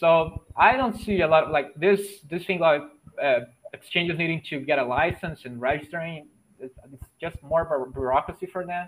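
A man with a Portuguese accent speaks at a moderate pace and fairly high pitch. His pitch varies in an ordinary way while his loudness swings widely. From Brazil. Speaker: bitcoin developer. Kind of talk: casual chat. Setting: video call.

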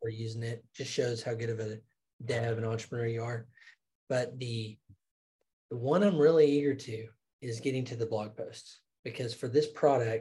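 His tone is dark and mellow and somewhat breathy. The man talks at a moderate pace with fairly even intonation. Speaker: podcast co-host. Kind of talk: casual business discussion.

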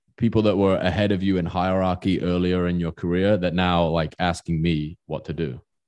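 Over a quiet background, a man talks in a very deep, low voice with flat, monotone intonation. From England. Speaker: designer and business founder. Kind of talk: interview.

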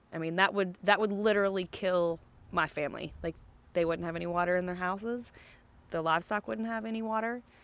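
Speaking with an Appalachian accent, a woman talks at a very fast pace. Her pitch is medium, with ordinary pitch variation. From West Virginia, Pocahontas County. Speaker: musician from a farming family. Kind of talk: interview.

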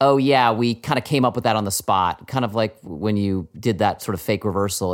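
A man with a normal speaking voice talks at a fairly quick pace, medium in pitch and with ordinary pitch variation. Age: middle-aged. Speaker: podcast co-host and TV writer. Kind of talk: casual chat.

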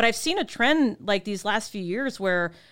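On a very clean recording with a silent background, a woman speaks at a fairly high pitch. Her intonation is lively. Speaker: podcast host, insurance agent. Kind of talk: casual chat. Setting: studio.

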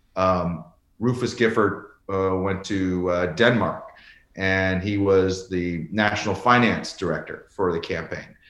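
A man speaks at a very deep, low pitch and a fairly slow pace. His intonation is fairly even, and room echo is audible. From rural Canada. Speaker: former ambassador. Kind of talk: interview conversation.

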